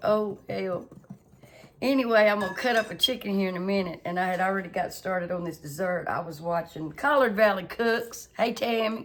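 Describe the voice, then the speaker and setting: Speaking at a fairly quick pace in a Southern US accent, a woman has medium pitch and ordinary pitch variation. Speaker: home cooking channel host. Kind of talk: cooking tutorial. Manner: casual, chatty.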